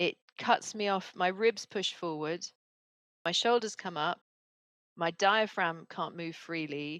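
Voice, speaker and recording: Speaking in a calm tone with a British accent, a woman goes at a very slow pace in a dry, close sound with no echo. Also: fairly low pitch for a woman, ordinary pitch variation. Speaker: speaker coach and author. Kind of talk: podcast interview. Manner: calm pace.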